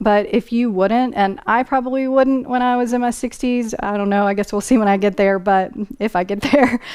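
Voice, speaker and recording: A woman with an ordinary speaking voice talks at a moderate pace. Her pitch is fairly high, with ordinary pitch variation. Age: 40s. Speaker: style vlogger. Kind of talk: Q&A video, reading viewer comments.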